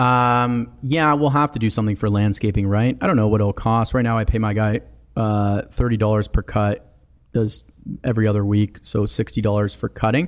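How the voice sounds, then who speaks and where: At a moderate pace, a man speaks in an ordinary speaking voice, fairly low in pitch with fairly even intonation. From Canada, small town in Ontario. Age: 20s. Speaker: real estate developer. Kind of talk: casual chat.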